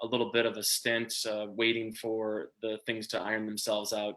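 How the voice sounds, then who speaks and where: The voice has a bright, sharp tone and monotone, flat intonation, delivered in a Minnesota accent. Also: man. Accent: Minnesota accent, sounds Canadian-ish. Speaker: small business owner. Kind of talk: interview. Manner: halting, many fillers.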